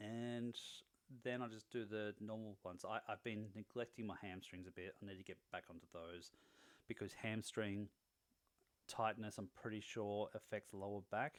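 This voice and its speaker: In an Australian accent, a man with a fairly low pitch speaks at a moderate pace in a monotone, flat intonation. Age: 40s. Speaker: fitness vlogger. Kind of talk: video diary. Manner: casual.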